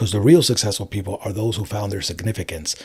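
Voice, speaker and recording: Somewhat breathy in delivery, a man talks with an American accent. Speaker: life coach. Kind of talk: interview.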